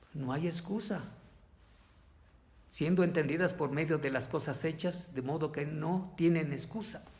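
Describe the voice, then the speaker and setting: Speaking at a fairly slow pace with long, frequent pauses, a man uses a fairly high pitch and fairly even intonation amid audible room echo. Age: 60s. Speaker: lay preacher. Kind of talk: sermon. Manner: halting.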